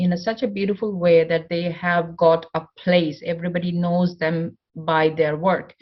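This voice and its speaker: A woman with a non-native accent speaks at a fairly slow pace and a fairly low pitch. Her somewhat breathy voice keeps fairly even intonation. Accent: non-native English accent, self-described. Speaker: motivational speaker. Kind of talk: conference talk.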